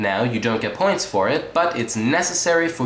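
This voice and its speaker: A man talks at a moderate pace. There is audible room echo and light background noise. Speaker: comedic reviewer. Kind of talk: comedic monologue review. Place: home room. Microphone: webcam.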